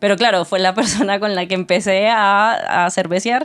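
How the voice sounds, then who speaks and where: At a moderate pace, a woman speaks in an ordinary speaking voice with ordinary pitch variation. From Colombia, Tuluá. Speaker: podcast co-host. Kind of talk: casual chat.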